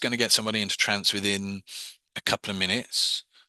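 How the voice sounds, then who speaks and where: Very fast and bright, sharp in tone, a man's voice comes through dry and close with no echo. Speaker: hypnosis and meditation teacher. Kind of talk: online class. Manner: hesitant, many fillers.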